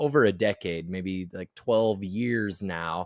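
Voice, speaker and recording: A man with a Midwestern American accent talks at a very slow pace, his pitch fairly low with ordinary variation. The recording is very clean, with a silent background. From US Midwest, Iowa. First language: American Sign Language. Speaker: transpersonal psychologist. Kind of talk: interview conversation. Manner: halting, many repeated words.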